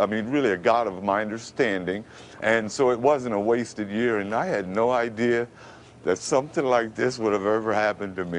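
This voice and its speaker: A speaker with an American accent talks at a moderate pace with ordinary pitch variation. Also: man. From Brooklyn, New York. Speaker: radio announcer. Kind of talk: TV interview answer. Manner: emotional.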